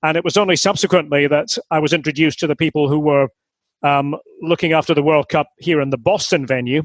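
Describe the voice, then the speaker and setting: In a quiet background, a man with a fairly high voice talks very fast, the sound dry and close with no echo. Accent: Scottish. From Aberdeen, Scotland. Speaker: football commentator. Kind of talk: interview answer.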